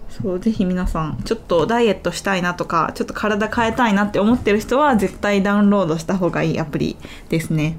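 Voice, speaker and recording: A woman speaks at a very fast pace, her pitch medium and its variation ordinary. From Kansai, Japan (Kyoto). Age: 20s. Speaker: YouTuber and iPad designer. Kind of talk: casual chat. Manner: lighter, giggly.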